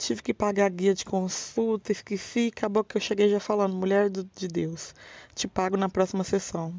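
In a plain, everyday voice, a woman speaks fairly slowly at medium pitch. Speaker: podcast host. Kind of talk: casual monologue. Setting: home bedroom.

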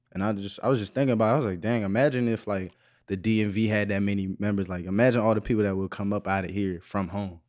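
In a very clean recording with a silent background, a man speaks very fast at a fairly low pitch with fairly even intonation. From Waldorf, Maryland (DC area). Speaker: rapper and singer. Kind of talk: casual chat.

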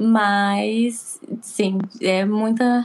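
With fairly even intonation, this woman's voice rests at a fairly high pitch. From Recife, raised in Porto Alegre, Brazil. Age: 20s. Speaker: beauty therapy student living abroad. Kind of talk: casual interview chat.

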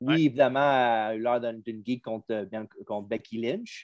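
With a Quebec accent, a man talks fairly quickly at a medium pitch and fairly even intonation. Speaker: wrestling podcast host. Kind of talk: casual chat.

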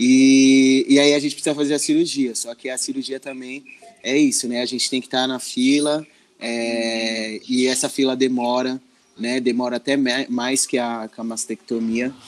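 Monotone, flat intonation from a man of medium pitch, at a moderate pace. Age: 30s. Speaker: social educator. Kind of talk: interview. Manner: halting.

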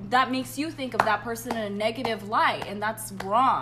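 A woman speaks fairly quickly while noticeable background noise plays behind her. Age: 20s. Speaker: podcast guest. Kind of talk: casual chat.

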